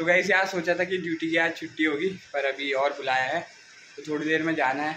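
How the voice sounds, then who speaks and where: A man speaks at a moderate pace with fairly even intonation. Noticeable background noise runs beneath his voice. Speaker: home vlogger. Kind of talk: casual vlog chat. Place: home room. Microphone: phone near.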